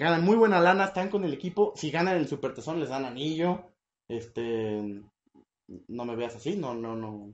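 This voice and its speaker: A man with a Mexican accent at a moderate pace, animated in tone, with very wide pitch swings. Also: fairly high pitch for a man. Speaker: podcast host. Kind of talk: casual chat.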